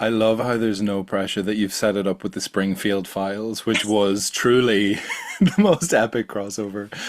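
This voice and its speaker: Here a man with an Irish accent talks at a moderate pace, in a fairly low voice with fairly even intonation. Noticeable background noise runs under him. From Ireland, small coastal town. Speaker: podcast host and science communicator. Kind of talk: casual interview chat.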